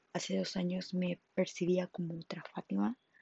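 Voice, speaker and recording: Somewhat breathy and fairly low-pitched, a woman speaks at a fairly slow pace with fairly even intonation. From Mexico, Monterrey, Nuevo León. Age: 20s. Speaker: podcaster. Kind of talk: personal testimony monologue. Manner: halting.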